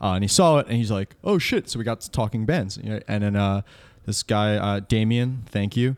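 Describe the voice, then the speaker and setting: With an American accent, a man with an unremarkable speaking voice talks at a fairly quick pace and fairly low pitch, with ordinary pitch variation, on a very clean recording with a silent background. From Central New Jersey, Old Bridge. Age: 20s. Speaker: rock band musician. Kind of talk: casual interview chat.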